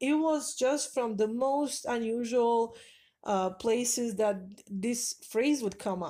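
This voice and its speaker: In a very clean recording with a silent background, a woman with a non-native accent speaks at a high pitch in a dark, mellow tone. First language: not English. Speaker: spiritual advice vlogger. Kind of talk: casual monologue.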